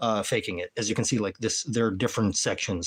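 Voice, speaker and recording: A man talks with a fairly low pitch. It is a very clean recording, and the background is silent. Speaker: streamer showing a star projector. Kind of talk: live stream demo. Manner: casual, halting with fillers.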